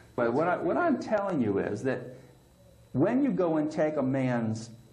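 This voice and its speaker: There is noticeable background noise. A man speaks at a very slow pace. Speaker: prison inmate. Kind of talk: interview answer.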